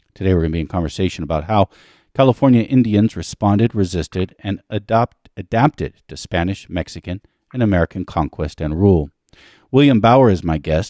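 Talking at a fairly quick pace over a quiet background, a man uses a very deep, low pitch and lively intonation. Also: dry sound with no echo. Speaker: podcast host. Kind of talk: scripted show introduction. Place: home room. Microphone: studio mic.

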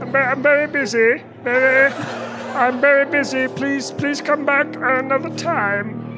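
Over clear music in the background, a put-on, high-pitched character voice goes along at a very slow pace. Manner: polite but curt, busy.

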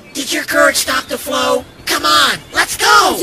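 Raspy male voice at a moderate pace, clear background noise behind it. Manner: cheeky, speaks in rhymes.

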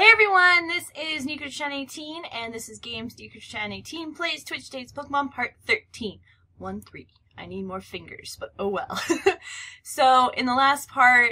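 Raising and projecting her voice, a woman speaks with a bright, sharp tone, very wide pitch swings and big swings in loudness. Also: moderate pace, quiet background. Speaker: gaming vlogger. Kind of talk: casual vlog chat. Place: home room.

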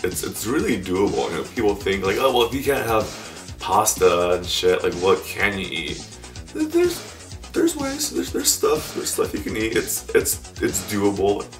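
Clear music sits behind the speaker. He is a man talking at a moderate pace. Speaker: keto recipe vlogger. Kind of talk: casual talk to camera. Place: home room. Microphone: camera far.

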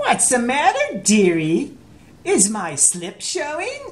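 A female-sounding voice does a put-on character voice, high in pitch and at a fairly slow pace. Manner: sassy, teasing.

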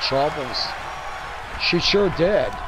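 Noticeable background noise sits under a man speaking at a high pitch and a fairly slow pace. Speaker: wrestling commentator. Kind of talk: live wrestling commentary, play-by-play. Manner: punchy, interjecting 'oh man' and hype.

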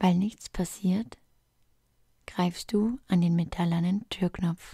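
A woman's calm, somewhat breathy voice, dark and mellow in tone, with fairly even intonation at a very slow pace. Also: medium pitch for a woman. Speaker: relaxation guide / ASMR creator. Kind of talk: guided relaxation fantasy journey, sleep story. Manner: calm, soft-spoken, slow.

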